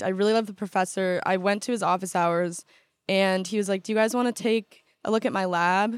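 In an ordinary speaking voice, a woman with an American accent talks at a fairly quick pace and medium pitch. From Southern California, Orange County. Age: 20s. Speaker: college student. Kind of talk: casual interview.

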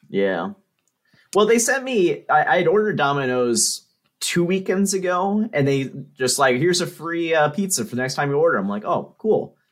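A man talks at a high pitch with lively intonation. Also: moderate pace. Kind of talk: casual chat.

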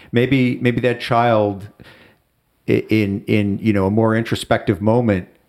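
This man has an American accent and a fairly low pitch. He talks at a moderate pace with ordinary pitch variation. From US Midwest, Chicago. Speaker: friend of the host. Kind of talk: casual chat.

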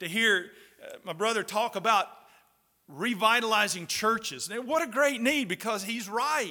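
Projecting a raised voice, a man speaks at an extremely high pitch. His tone is bright and sharp, with lively intonation. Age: 60s. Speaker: pastor and Bible college professor. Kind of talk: sermon. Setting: chapel service at a Bible college.

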